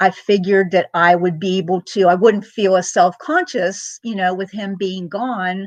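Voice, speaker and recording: Against a quiet background, a woman at a medium pitch speaks at a fairly slow pace with hardly any pauses. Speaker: vlogger. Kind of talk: casual chat. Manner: loud; keeping voice down.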